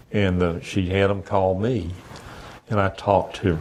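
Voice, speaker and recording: In a Southern US accent, a man speaks with a very deep, low pitch and ordinary pitch variation. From US South (Savannah, Georgia). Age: 70s. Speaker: retired veteran, blind resident. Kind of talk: interview conversation. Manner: halting.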